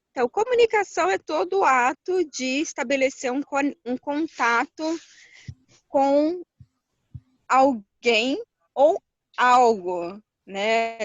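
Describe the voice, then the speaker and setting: A woman with a high pitch speaks with lively intonation and long, frequent pauses. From Rio de Janeiro, Brazil. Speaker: holistic therapist and entrepreneur. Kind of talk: interview.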